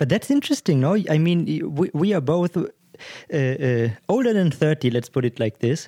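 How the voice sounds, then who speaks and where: A man with a non-native accent speaks at a moderate pace, his pitch fairly high and his intonation lively, in a dark, mellow tone. The recording is very clean with a silent background and a dry, close sound with no echo. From Germany. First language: German. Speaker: podcast co-host. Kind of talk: casual chat.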